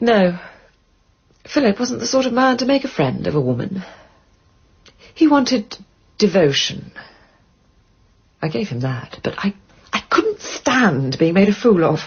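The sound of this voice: A woman's put-on character voice with a husky, rough edge, big pitch swings, a fairly slow pace and long, frequent pauses. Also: medium pitch for a woman.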